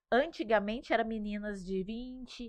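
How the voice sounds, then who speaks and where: A woman speaks in an unremarkable speaking voice, fairly high in pitch and fairly slow. The sound is dry and close, with no echo. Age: 30s. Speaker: pregnant mother, social media creator. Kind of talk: podcast interview.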